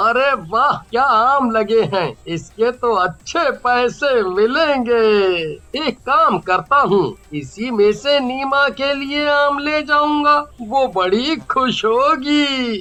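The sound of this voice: A cartoonish character voice, fairly high in pitch, at a very slow pace with hardly any pauses.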